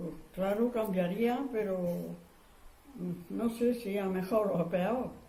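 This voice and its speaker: Speaking at a very slow pace with ordinary pitch variation, a woman is heard through noticeable background noise and audible room echo. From Andalusia, Spain (Huesa, Jaén). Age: 80s+. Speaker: war survivor. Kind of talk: oral history interview. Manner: halting.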